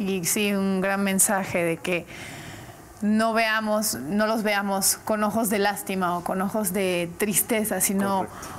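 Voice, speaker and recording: A woman at medium pitch speaks at a very slow pace with fairly even intonation. Her loudness stays very even over light background noise. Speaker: interview show host. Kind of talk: interview. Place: studio. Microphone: lapel.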